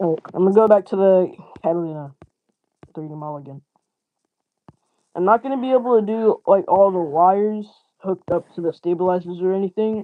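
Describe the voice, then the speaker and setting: A fairly quick pace broken by long, frequent pauses. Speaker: livestreamer building 3D models. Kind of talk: casual livestream chat. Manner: casual, slangy, stumbling over words.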